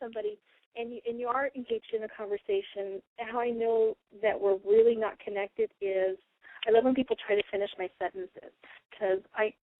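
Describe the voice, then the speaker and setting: At a fairly quick pace, a woman speaks with big swings in loudness and ordinary pitch variation. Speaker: radio show host and spiritual channeler. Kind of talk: casual radio talk. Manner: fast.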